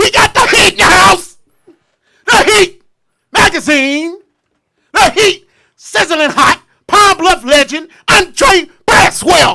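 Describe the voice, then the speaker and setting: A loud, put-on character voice at an extremely high pitch, fairly slow, with long, frequent pauses. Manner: loud, exaggerated, preacher-like.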